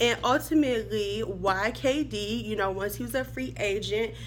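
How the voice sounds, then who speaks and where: Her tone is animated as the woman talks at a fairly slow pace. Music plays in the background. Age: 30s. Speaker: sports vlogger. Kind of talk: casual vlog commentary.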